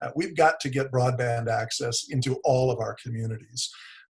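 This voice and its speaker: A man speaks in an American accent at medium pitch. His voice is somewhat breathy, with fairly even intonation. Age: 60s. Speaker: economic development executive. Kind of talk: webinar presentation.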